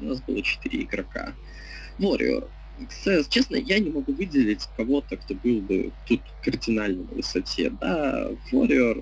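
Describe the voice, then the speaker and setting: A man talks at a moderate pace with noticeable background noise around him. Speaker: game stream commentator. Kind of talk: live commentary. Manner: loud.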